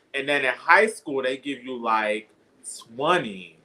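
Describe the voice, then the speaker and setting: Using a New York accent, a man with a medium pitch and a bright, sharp tone speaks with lively intonation. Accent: New York (Bronx). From Bronx, New York. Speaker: poet. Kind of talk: casual chat.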